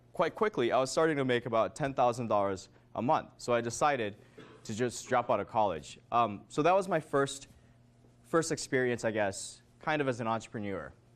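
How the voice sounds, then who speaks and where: A man with an unremarkable speaking voice, an American accent, medium pitch, lively intonation and a fairly quick pace. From Minnesota and Korea. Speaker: author and entrepreneur giving a talk. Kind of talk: motivational talk to students. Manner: casual, filler-heavy.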